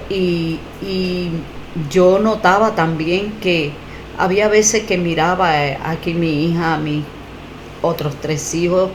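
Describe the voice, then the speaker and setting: A woman's fairly low voice, very slow and fairly even in intonation, with long, frequent pauses, audible room echo and noticeable background noise. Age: 60s. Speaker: testimony giver, faith healing survivor. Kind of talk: testimony. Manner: halting, many fillers and repetitions.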